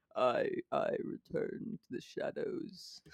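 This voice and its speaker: This man uses a put-on character voice. His pitch is extremely high. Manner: dark, ominous.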